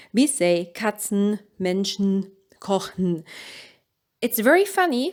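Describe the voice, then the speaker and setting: A woman with a German accent speaks at a very slow pace with lively intonation and long, frequent pauses. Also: medium pitch for a woman. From Germany. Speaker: language teacher. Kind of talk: tutorial.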